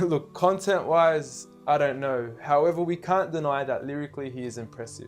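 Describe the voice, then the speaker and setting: A man speaks in a fairly high pitch at a moderate pace. Music is playing in the background. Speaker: spoken word performer. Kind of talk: spoken word poetry performance, persuasive religious talk.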